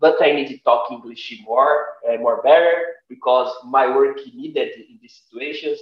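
The speech comes at a medium rate. It is a man with a Portuguese accent. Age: 30s. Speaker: guest. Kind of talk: casual chat. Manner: halting.

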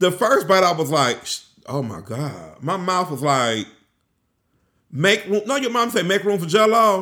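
Raised and projected, a man's high-pitched voice carries a bright, sharp tone and an animated quality, swinging very widely in pitch at a fairly slow pace. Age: 40s. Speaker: real estate content creator. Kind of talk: casual vlog monologue.

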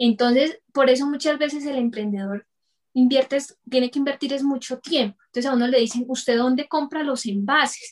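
A woman speaks at a moderate pace in a high voice, her intonation fairly even and the sound dry and close with no echo. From Colombia, Bucaramanga. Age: 30s. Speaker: entrepreneur, dental lab technician. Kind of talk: interview.

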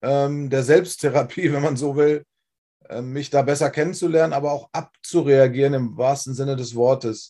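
The man's pitch is fairly high. His tone is dark and mellow. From Germany, Wolfsburg (Lower Saxony). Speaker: former rock singer. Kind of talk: testimony interview. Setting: livestream.

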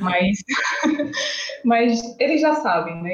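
Somewhat breathy, a woman speaks in a northeastern Brazilian accent. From Brazil, Northeast (Alagoas). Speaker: entomology master's student and science communicator. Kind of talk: casual interview.

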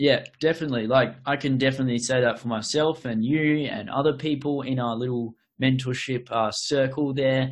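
A man with an Australian accent, medium-pitched, speaking at a fairly quick pace with fairly even intonation. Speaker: podcast host. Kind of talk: casual interview chat. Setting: online call.

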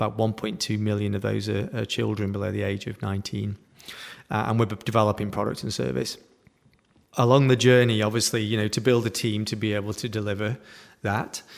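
Speaking with a British accent, a man uses a fairly low pitch and fairly even intonation. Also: fairly quick pace. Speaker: digital entrepreneur. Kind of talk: interview.

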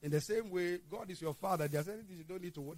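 The man talks at a fairly quick pace in a high voice with ordinary pitch variation. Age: 60s. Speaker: pastor. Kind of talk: sermon.

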